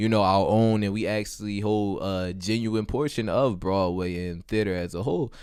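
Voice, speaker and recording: This man has a normal speaking voice with an American accent, fairly low pitch and fairly even intonation at a moderate pace. The recording is very clean, with a silent background. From West Baltimore, Maryland. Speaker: student actor. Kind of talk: podcast interview.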